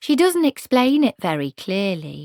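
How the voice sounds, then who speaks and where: Performing a put-on character voice, a female-sounding speaker at medium pitch for a woman moves at a moderate pace with very wide pitch swings. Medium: read story.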